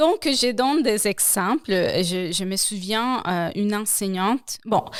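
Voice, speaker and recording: Speaking very slowly in a Spanish accent, a woman uses a fairly high pitch with ordinary pitch variation. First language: Spanish (speaking French). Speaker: language program coordinator. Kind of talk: interview.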